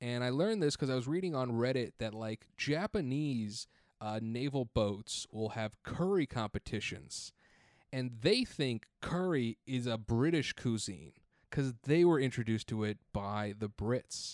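With a dry, close sound and no echo, a man at a medium pitch speaks fairly slowly in an animated tone with lively intonation. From US Pacific Northwest. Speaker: podcast guest, podcaster. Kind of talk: casual interview chat. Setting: remote recording, separate tracks synced. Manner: animated, profane.

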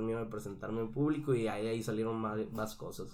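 With audible room echo, a man speaks at a very fast pace in a medium pitch. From Mexico, Sonora. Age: 20s. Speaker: singer. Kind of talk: casual interview chat.

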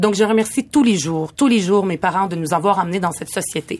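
A woman with a normal speaking voice talks at a fairly quick pace in a medium pitch with ordinary pitch variation. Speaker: community activist. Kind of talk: panel discussion.

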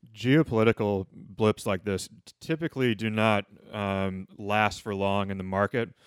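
A normal speaking voice at a fairly slow pace with ordinary pitch variation, in a dry, close sound with no echo. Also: man, fairly low pitch for a man. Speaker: co-host financial advisor. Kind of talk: casual radio panel discussion.

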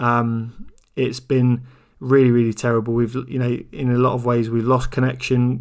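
A man at a medium pitch, fairly slow pace and monotone, flat intonation

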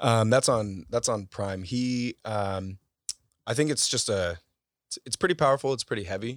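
In an American accent, a man with a fairly low pitch and ordinary pitch variation speaks at a moderate pace, recorded very cleanly against a silent background with a dry, close sound and no echo. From US West Coast (Bay Area). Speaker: content creator, photographer. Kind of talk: casual interview chat. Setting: in-person studio recording.

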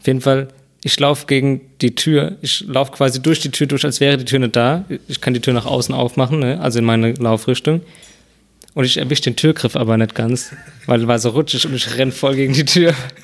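A man talks at a fairly quick pace with fairly even intonation amid noticeable background noise. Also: medium pitch for a man. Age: 20s. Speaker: podcast co-host. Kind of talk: casual chat. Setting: at co-host's home.

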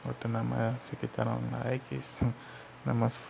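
A man speaks with a Mexican accent at a medium pitch. His pace is fairly slow. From Mexico. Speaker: podcast host, former graffiti artist. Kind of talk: solo podcast monologue. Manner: halting, many fillers.

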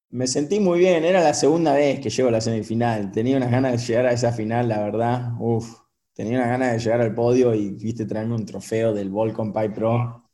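This man talks at a fairly quick pace in a dark, mellow tone, with hardly any pauses. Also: medium pitch for a man, ordinary pitch variation. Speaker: professional surfer. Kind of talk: casual interview chat.

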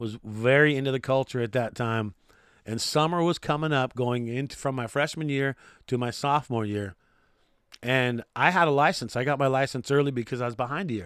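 Speaking at a fairly quick pace, a man with an American accent sounds animated, at a medium pitch with ordinary pitch variation. The recording is very clean, with a silent background. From California, Santa Barbara area. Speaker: radio DJ and TV sports commentator. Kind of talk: casual solo podcast monologue.

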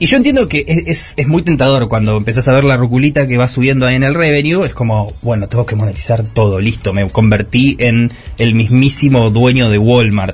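A man with a medium pitch and ordinary pitch variation talks at a fairly quick pace, with hardly any pauses. His loudness stays very even, and background noise is noticeable. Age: 30s. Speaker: youtuber. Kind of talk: interview.

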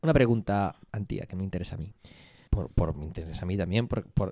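A man speaks fairly quickly in a plain, everyday voice. His pitch varies in an ordinary way. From Vigo, Galicia, Spain. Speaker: podcast co-host. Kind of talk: casual chat.

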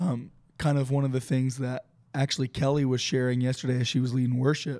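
This man's voice is medium-pitched with a dark, mellow tone. He speaks fairly quickly in a flat monotone. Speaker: worship leader and preacher. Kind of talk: casual chat.

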